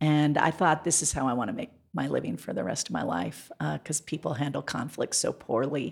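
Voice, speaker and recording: Speaking at a fairly quick pace with hardly any pauses, a woman with an American accent has a very deep, low pitch and vocal fry. Her pitch swings very widely. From Montana. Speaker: mayoral candidate. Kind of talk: interview.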